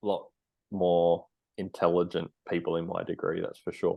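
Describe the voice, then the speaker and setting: Someone speaks with an Australian accent at a moderate pace. The background is quiet. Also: man. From Australia, Sunshine Coast, Queensland. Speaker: dietitian and army veteran. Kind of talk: podcast interview. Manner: casual, hesitant with repetitions.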